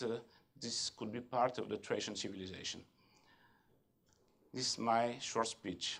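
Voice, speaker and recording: A man at a medium pitch and moderate pace, with long, frequent pauses. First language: French (stated); speaks Bulgarian. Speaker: government official. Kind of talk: conference speech. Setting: conference hall. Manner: halting, many hesitations.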